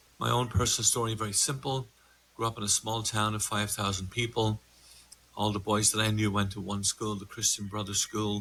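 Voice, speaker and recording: With an Irish accent, a man speaks at a moderate pace in a monotone, flat intonation. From Ireland, border with Northern Ireland. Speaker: meditation instructor and coach. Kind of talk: podcast conversation.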